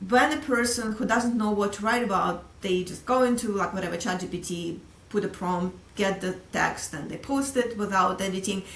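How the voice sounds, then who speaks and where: A woman with a Russian accent at a medium pitch, ordinary pitch variation and a moderate pace, hardly any pauses, audible room echo and noticeable background noise. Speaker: sales executive. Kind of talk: casual interview.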